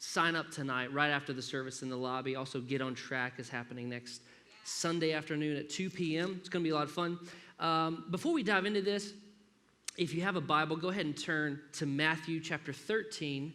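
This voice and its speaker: A man's fairly high, bright, sharp voice at a fairly quick pace, with ordinary pitch variation and audible room echo. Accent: slight southern Alabama. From US South, Alabama (Grand Bay). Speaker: pastor. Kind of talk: sermon. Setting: church. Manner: animated.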